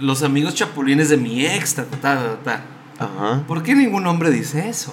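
A man speaks with lively intonation and a fairly high pitch at a fairly slow pace. Noticeable background noise and audible room echo come through. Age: 30s. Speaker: podcast guest. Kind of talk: casual chat.

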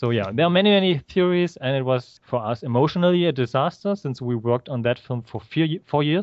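A man's fairly high voice with a German accent, at a fairly quick pace with lively intonation and hardly any pauses. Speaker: filmmaker. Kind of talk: interview. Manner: halting.

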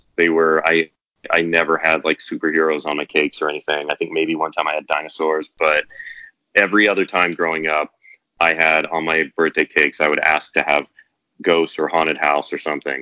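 A man's very deep, low voice in an American accent, with monotone, flat intonation. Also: fairly quick pace. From US Midwest, southeast Kansas. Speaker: author and TV writer. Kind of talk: casual interview.

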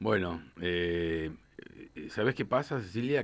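A man in a Rioplatense accent, fairly slow, with very wide pitch swings. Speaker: journalist author. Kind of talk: radio interview. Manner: halting, repeats words.

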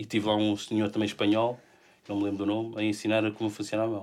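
The recording is very clean and the background silent. A man with a fairly low pitch talks at a fairly quick pace. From Portugal, Lisbon area. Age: 40s. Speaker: illustrator with a bionic arm. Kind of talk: casual interview chat. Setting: studio.

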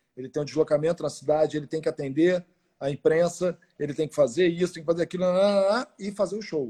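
A dark, mellow tone at a very fast pace, with ordinary pitch variation and a dry, close sound with no echo. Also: man, fairly high pitch for a man. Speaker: podcast host, former radio presenter. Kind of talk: casual interview. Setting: at home during quarantine. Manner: animated.

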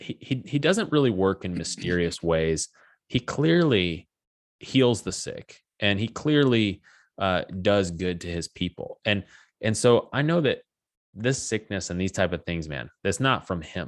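In a very clean recording with a silent background, a man with an unremarkable speaking voice talks at a fairly slow pace, fairly low in pitch, with lively intonation. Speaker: podcast host. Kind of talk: interview conversation. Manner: friendly, casual.

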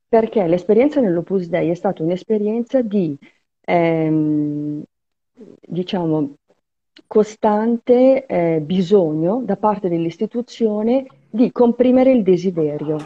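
This woman talks at a very slow pace in a medium pitch, with lively intonation and long, frequent pauses. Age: old. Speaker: journalist and writer, former religious member. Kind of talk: interview testimony. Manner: halting.

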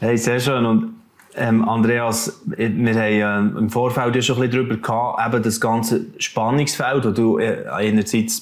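A man at a fairly slow pace, medium in pitch. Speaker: talk show host. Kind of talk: interview.

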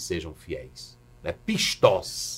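A man's voice with vocal fry. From Brazil, Maranhão. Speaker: pastor and professor. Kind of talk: podcast interview.

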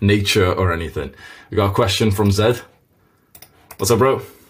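A man with a fairly low pitch speaks at a fairly quick pace, sounding somewhat breathy. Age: 20s. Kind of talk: live interactive online lesson. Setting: video call. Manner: casual, animated.

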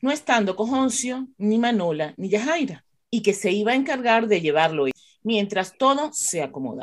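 At a medium pitch, a woman talks at a moderate pace with big pitch swings.

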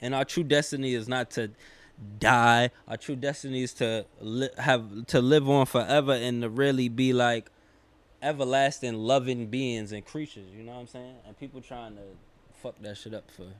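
Speaking with a New York accent, a man keeps fairly even intonation while his loudness swings widely. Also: medium pitch for a man, moderate pace. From New York, Queens. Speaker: rapper. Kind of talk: casual chat.

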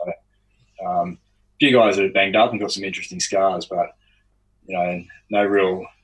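Speaking with an Australian accent, a man keeps a fairly quick pace. His pitch is fairly low and his intonation fairly even. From Australia, outside Sydney (Lower Blue Mountains). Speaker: ex-special forces soldier and strength coach. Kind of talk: interview.

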